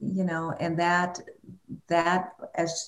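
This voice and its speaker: Vocal fry marks this woman's speech. Her pitch is very deep and low. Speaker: filmmaker and radio host. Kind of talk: casual interview conversation. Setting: online webinar or video call.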